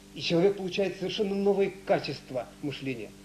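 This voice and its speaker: A man speaks with lively intonation. Light background noise is present. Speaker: researcher; lecturer. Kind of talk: lecture. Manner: fast. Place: hall. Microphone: podium.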